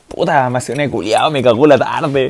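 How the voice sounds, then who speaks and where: The speaker is a man. He talks with a Chilean accent. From Chile, San Felipe. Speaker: football podcast co-host. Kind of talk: casual chat. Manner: animated.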